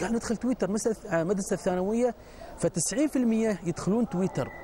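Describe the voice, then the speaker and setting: A man with an Emirati accent at a moderate pace, ordinary pitch variation, a dry sound with no echo and light background noise. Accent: Emirati Gulf Arabic. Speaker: religious preacher. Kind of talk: TV panel discussion. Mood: earnest, admonishing. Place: studio. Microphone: lapel.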